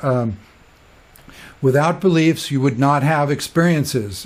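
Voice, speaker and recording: A man delivers his words fairly slowly, with ordinary pitch variation. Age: 60s. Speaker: spiritual teacher. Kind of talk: casual monologue. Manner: animated; halting.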